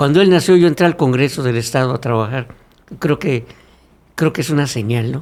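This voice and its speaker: The speaker talks at a fairly quick pace with ordinary pitch variation. Long pauses come often. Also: man, medium pitch for a man. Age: 60s. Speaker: former legislator and congress staff member, communicator. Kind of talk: podcast interview.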